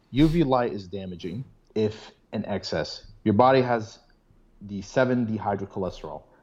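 A man with a plain, everyday voice speaks at a moderate pace and fairly low pitch, with ordinary pitch variation and big swings in loudness. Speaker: biotech student. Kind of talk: casual chat.

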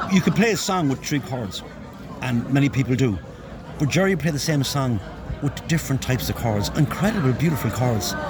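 Over noticeable background noise and audible room echo, a man with an Irish accent speaks at a fairly quick pace with medium pitch and lively intonation. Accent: Irish (Galway). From Galway, Ireland. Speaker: musician. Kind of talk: interview reminiscence. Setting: funeral home.

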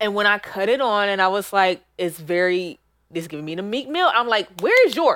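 At a moderate pace and medium pitch, a woman speaks with an animated tone and lively intonation on a very clean recording with a silent background. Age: 30s. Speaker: podcast co-host. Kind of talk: casual chat.

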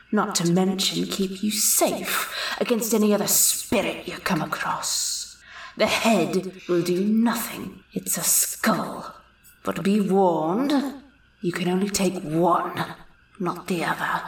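In a slight echo, a woman with a gruff, medium-pitched voice speaks at a fairly slow pace. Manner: warning, terse, grim.

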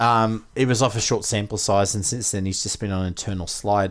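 On a very clean recording with a silent background, a man with an Australian accent speaks at a fairly low pitch with ordinary pitch variation. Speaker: fantasy sports podcast host. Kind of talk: casual podcast chat about fantasy league.

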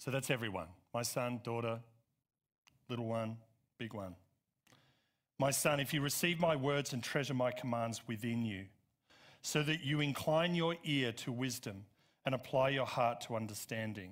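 On a very clean recording with a silent background, a man with an Australian accent and a medium pitch speaks at a moderate pace with ordinary pitch variation and long, frequent pauses. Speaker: pastor. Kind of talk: Sunday sermon, rousing scripture exposition with call-and-response. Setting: church auditorium with congregation. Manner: animated, emphatic preacher rhythm with repeated build-ups; conversational asides full of uh and um, coaxing amens.

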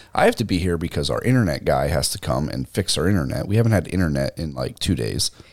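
A man with a very deep, low pitch and vocal fry talks very fast in an animated tone, with lively intonation and hardly any pauses. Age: 30s. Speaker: podcast co-host. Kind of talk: casual chat.

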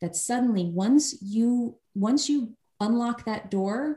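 A woman with an American accent, somewhat breathy with a dark, mellow tone, ordinary pitch variation and a fairly slow pace, on a very clean recording with a silent background. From New York (Long Island). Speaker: startup founder and coach. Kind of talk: casual interview chat.

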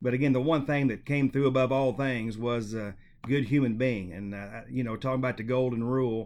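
A man speaks in a plain, everyday voice at a fairly quick pace. His pitch is medium and his intonation fairly even. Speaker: podcast host. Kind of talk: interview conversation.

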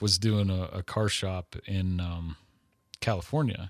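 Heard on a very clean recording with a silent background, an unremarkable speaking voice comes through with an American accent. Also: man. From Texas. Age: 40s. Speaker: airbrush artist. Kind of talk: interview.

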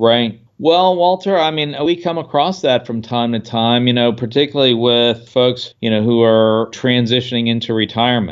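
At a moderate pace, a man with an unremarkable speaking voice talks in a medium pitch with ordinary pitch variation. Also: hardly any pauses. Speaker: financial consultant. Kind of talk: casual expert interview about financial planning. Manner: conversational, filler-heavy.

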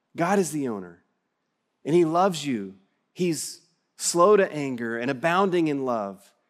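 Slow-paced with long, frequent pauses, a man in a West Texas accent speaks at a fairly high pitch with very wide pitch swings, in a very clean recording with a silent background. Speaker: preacher. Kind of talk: sermon. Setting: church.

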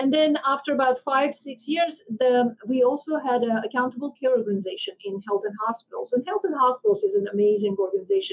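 This woman speaks at a high pitch and a fairly quick pace. Her intonation is lively. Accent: Armenian. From Armenia. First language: Armenian. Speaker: physician and healthcare executive.

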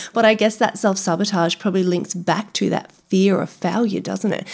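A woman's fairly quick speech with vocal fry and monotone, flat intonation. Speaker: nutrition podcast host. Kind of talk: casual interview chat. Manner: fast talker.

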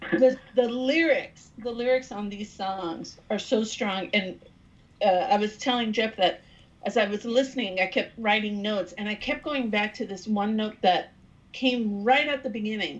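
A somewhat breathy woman's voice with a fairly high pitch. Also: ordinary pitch variation, moderate pace. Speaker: podcast co-host. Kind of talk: casual interview.

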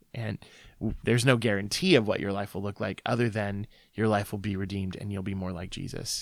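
The recording is very clean, with a silent background. A man with a slight Midwestern accent talks fairly quickly at a fairly low pitch, keeping his intonation fairly even. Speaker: ministry founder and author. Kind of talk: interview testimony.

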